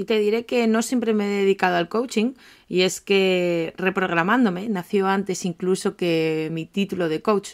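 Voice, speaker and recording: Medium-pitched female voice at a moderate pace, fairly even in intonation, on a very clean recording with a silent background. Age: 30s. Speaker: life coach and podcast host. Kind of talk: podcast monologue. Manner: talkative, chatty.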